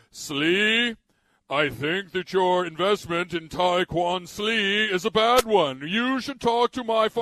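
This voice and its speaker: A man's put-on character voice, high in pitch, at a fairly slow pace against a quiet background. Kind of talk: snooty, upper-class. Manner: condescending.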